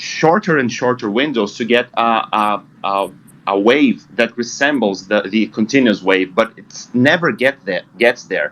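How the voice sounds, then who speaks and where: Someone with a Portuguese accent speaks at a fairly slow pace with hardly any pauses. Pitch varies in an ordinary way. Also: man, medium pitch for a man. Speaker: trading group member. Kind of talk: group discussion. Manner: halting.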